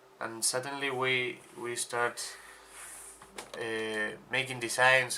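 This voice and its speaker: A man talks with a Spanish accent. His intonation is monotone and flat. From Spain. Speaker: podcast co-host, sportswear brand founder. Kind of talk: casual podcast chat. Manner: halting, repetitive stumbles.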